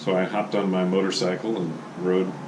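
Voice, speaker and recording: Against noticeable background noise, a man with an American accent speaks at a very deep, low pitch. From Oregon, USA. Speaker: grandfather telling family stories. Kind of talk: oral history storytelling. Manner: casual, conversational.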